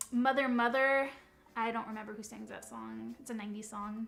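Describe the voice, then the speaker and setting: This is a woman talking. She uses a monotone, flat intonation. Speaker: beauty youtuber. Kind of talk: makeup tutorial chat. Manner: casual, hesitant with fillers.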